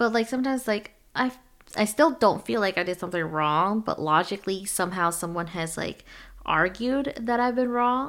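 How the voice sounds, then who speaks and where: With an American accent, a woman speaks in a normal speaking voice at medium pitch and a moderate pace, her intonation lively, in a very clean recording with a silent background. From US, Chinese American family. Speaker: podcast host. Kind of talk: casual chat.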